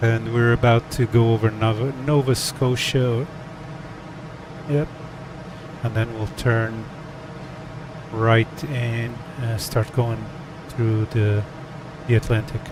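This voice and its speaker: A man speaks at a medium pitch and a very slow pace, with long, frequent pauses and fairly even intonation. Noticeable background noise runs under his voice. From Portugal. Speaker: flight sim streamer. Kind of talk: casual chat. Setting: live stream. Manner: hesitant, many fillers.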